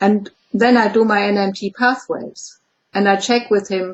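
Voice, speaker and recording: A woman speaks at a fairly high pitch in a German accent. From Germany. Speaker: clinical psychologist. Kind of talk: interview. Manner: halting.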